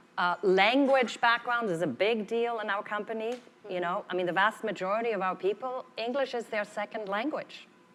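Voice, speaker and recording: With a non-native accent, a woman speaks at a moderate pace in a fairly high pitch with ordinary pitch variation. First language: not English. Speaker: corporate HR executive. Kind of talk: keynote panel discussion.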